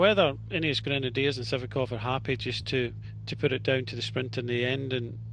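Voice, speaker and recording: A man speaks with a Scottish accent at a moderate pace. Noticeable background noise is present. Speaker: cycling commentator. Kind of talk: live commentary.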